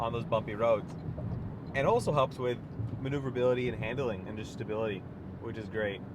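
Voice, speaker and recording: The pace is very fast, yet long, frequent pauses break it up. Pitch varies in an ordinary way, and room echo is audible. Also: man, medium pitch for a man. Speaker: car reviewer. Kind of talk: test drive commentary. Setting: in a car. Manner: loud; casual, filler-heavy.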